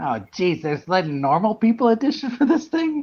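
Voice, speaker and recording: A man's put-on character voice, high-pitched, with very wide pitch swings at a moderate pace. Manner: cartoonish.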